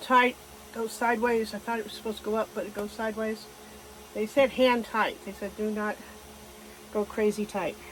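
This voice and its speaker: Against noticeable background noise, a woman speaks with a fairly high pitch, monotone, flat intonation and long, frequent pauses. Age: 70s. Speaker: DIY RV owner. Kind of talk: casual DIY repair talk to camera.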